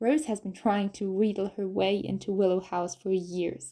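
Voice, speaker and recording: Here a woman speaks at a medium pitch. Her tone is dark and mellow. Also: very clean recording, silent background. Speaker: audiobook narrator. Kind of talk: audiobook narration.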